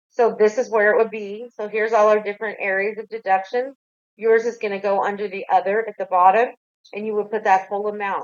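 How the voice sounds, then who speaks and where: A woman speaks at a medium pitch and a fairly quick pace. Her intonation is monotone and flat. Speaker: tax agency outreach officer. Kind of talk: online webinar Q&A. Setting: online webinar with chat. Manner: fast.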